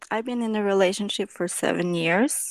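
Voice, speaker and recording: With lively intonation, a woman speaks at medium pitch. The recording is very clean and silent in the background, with a dry, close sound and no echo. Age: 30s. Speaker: caller. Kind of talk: testimony. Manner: halting.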